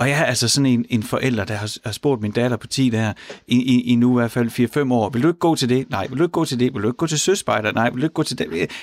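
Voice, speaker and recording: A man talks at a medium pitch and a fairly quick pace, with ordinary pitch variation. It is an ordinary speaking voice, the sound dry and close with no echo. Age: 40s. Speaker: radio host. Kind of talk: radio talk show. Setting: studio.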